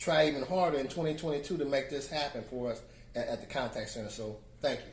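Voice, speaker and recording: Somewhat breathy, this man's voice sits at a fairly high pitch. Audible room echo surrounds it. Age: 70s. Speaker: community advocate. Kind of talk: testimony. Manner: halting.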